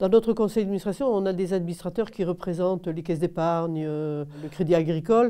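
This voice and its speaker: With a quiet background, a woman speaks at a moderate pace and medium pitch, her tone dark and mellow and her intonation fairly even. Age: 70s. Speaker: housing cooperative board member. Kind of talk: interview answers. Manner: hesitant, many filler sounds.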